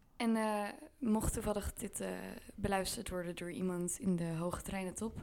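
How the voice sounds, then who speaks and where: An unremarkable speaking voice, a woman at medium pitch and moderate pace with fairly even intonation. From Vlaardingen, Netherlands. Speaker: podcast co-host. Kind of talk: casual chat. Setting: on holiday in Tuscany.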